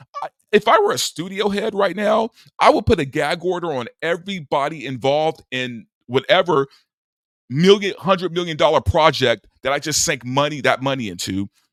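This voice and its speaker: Animated and fairly quick, a man speaks at a fairly high pitch with very wide pitch swings and vocal fry. The recording is very clean with a silent background, and the sound is dry and close with no echo. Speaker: movie commentary youtuber. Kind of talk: opinion monologue. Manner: stuttering, repetitive.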